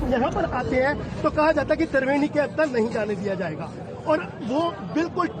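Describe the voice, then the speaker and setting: A man's extremely high-pitched voice at a moderate pace, with audible room echo and crowd noise in the background. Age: 60s. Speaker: pilgrim interviewed at a festival. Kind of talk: angry complaint to reporter. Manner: halting.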